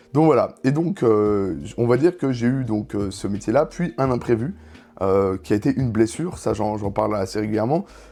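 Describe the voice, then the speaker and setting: Against a quiet background, a man speaks at a medium pitch. His tone is dark and mellow, and his intonation is lively. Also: moderate pace. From France, Franche-Comté (Dole). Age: 20s. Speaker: streamer. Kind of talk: casual live-stream talk. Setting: live stream. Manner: hesitant, many fillers.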